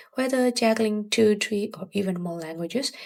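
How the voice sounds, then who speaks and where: A woman talks with a Burmese accent at a moderate pace. Her somewhat breathy voice makes very wide pitch swings. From Myanmar. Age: 20s. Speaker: language learning youtuber. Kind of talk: video tutorial.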